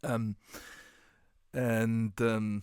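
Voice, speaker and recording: A man with a German accent speaks at medium pitch on a very clean recording with a silent background. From Germany. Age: 30s. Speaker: football coach and tactics writer. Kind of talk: casual podcast conversation. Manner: halting, many fillers.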